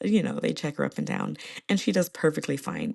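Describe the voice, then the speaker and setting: A woman speaks in an animated tone. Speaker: podcast host. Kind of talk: casual chat.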